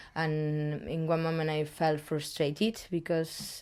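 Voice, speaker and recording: In a very clean recording with a silent background, a woman speaks at a fairly slow pace with a very deep, low pitch and a dark, mellow tone. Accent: Spanish. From Spain. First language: Spanish. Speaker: street artist. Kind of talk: interview. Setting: artist's studio. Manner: halting.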